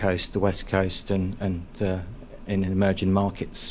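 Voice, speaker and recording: With a London accent, a man of fairly low pitch speaks at a moderate pace. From London, England. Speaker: energy company developer. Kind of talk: panel discussion presentation. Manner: halting, many repetitions and fillers.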